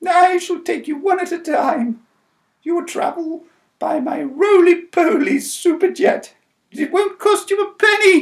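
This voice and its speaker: This put-on character voice moves along at a fairly slow pace. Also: man, extremely high pitch for a man. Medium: read story.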